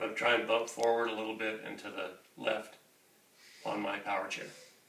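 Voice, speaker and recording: A man talks at a fairly quick pace with a medium pitch and fairly even intonation, his loudness swinging widely. Audible room echo and noticeable background noise fill the recording. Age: 50s. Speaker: wheelchair user demonstrating mobility. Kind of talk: tutorial. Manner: halting.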